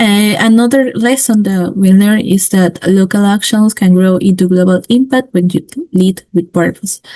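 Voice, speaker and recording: In a Spanish accent, a woman speaks at a medium pitch and moderate pace, her tone dark and mellow, somewhat breathy, with fairly even intonation and very even loudness. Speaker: student and women-in-science initiative founder. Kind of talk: webinar presentation. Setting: online webinar. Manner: halting, many fillers.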